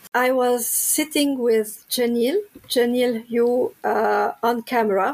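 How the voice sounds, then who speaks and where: The woman's pitch is high. She talks at a very slow pace. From Lebanon. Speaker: spiritual healer and angel card reader. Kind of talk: interview.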